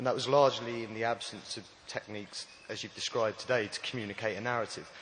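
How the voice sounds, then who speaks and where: Over noticeable background noise, the speaker rushes at a very fast pace in a flat, monotone delivery. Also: man, medium pitch for a man. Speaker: audience member asking a question. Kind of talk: audience question. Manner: soft-spoken.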